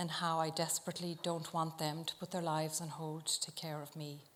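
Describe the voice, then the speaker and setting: Speaking with an Irish accent, a woman has a fairly low pitch. She talks at a fairly quick pace. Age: 50s. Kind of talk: public talk to live audience. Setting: live venue.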